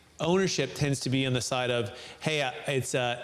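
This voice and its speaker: Noticeable background noise is in the recording. A man talks with ordinary pitch variation. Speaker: podcast host. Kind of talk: interview. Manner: halting.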